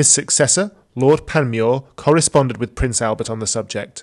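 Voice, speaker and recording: This man has a plain, everyday voice at a medium pitch with ordinary pitch variation. He speaks at a moderate pace against a quiet background. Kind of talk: history documentary narration. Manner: formal, measured and even, reads factual dates and names in a steady, authoritative tone.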